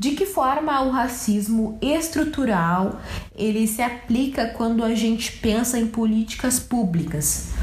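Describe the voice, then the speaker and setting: The delivery is fairly slow with lively intonation and very even loudness, set against audible room echo and noticeable background noise. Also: woman, fairly high pitch for a woman. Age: 20s. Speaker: podcast host, journalist. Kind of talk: interview.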